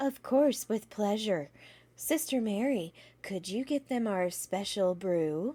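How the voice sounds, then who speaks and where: A woman does a put-on character voice at a fairly slow pace. The recording is very clean, with a silent background. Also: medium pitch for a woman. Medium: read story. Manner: sweet, cheerful.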